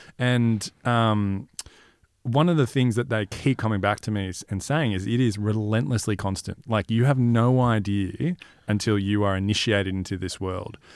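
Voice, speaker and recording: A man speaks in an Australian accent at a moderate pace. His fairly low pitch shows ordinary pitch variation. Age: 30s. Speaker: podcast host. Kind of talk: interview. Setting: studio.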